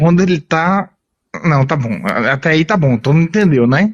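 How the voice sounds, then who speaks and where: The sound is dry and close, with no echo. A man speaks at a high pitch with lively intonation. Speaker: psychologist. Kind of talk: casual chat.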